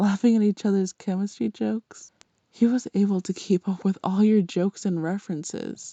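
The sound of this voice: Over a quiet background, an unforced reading voice moves with fairly even intonation.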